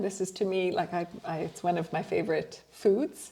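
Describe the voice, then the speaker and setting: A woman speaks with a French accent at a moderate pace. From French Canada (Ontario). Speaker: podcast host. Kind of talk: casual interview conversation.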